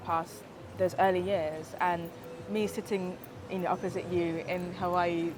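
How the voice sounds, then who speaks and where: Music plays in the background as a woman talks. Her pitch is medium and her pace moderate. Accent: British. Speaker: activist. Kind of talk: testimony. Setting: Hawaii.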